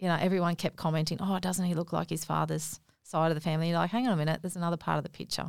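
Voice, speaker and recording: A woman with a fairly low pitch speaks at a very fast pace, with vocal fry. Her intonation is monotone and flat, and her loudness is very even. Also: very clean recording, silent background. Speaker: naturopath and small business owner. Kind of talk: interview. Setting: studio.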